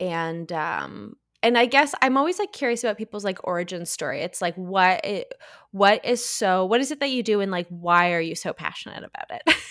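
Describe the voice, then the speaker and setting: A woman with a Canadian accent, fairly quick and animated, her intonation lively. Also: medium pitch for a woman. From Southern Ontario, Canada. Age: 20s. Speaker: podcast co-host. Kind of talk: casual chat; scripted guest introduction. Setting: remote recording. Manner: animated, laughing; halting, flustered.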